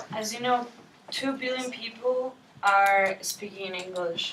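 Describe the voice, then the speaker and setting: A woman's very slow speech with audible room echo. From Poland. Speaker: student debater. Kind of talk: classroom debate speech. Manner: halting.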